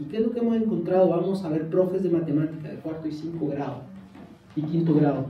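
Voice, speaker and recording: The speaker talks in a Mexican accent, with audible room echo. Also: man. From Mexico. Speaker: education researcher. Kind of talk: lecture.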